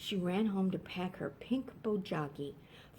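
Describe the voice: The text is read out plainly. Nothing more is added to the reading.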